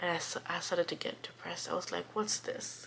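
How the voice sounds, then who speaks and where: Noticeable background noise is present throughout. The speaker is a woman. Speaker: immigrant vlogger. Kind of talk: casual talk to camera. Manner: cozy, relaxed.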